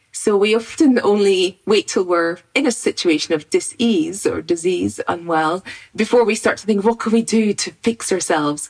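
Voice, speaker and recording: With a Scottish accent, a woman talks at a moderate pace and a medium pitch, with ordinary pitch variation. She leaves hardly any pauses. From Scotland, rural farm. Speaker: immunologist and university lecturer. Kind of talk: expert interview explanation. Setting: video call from home study.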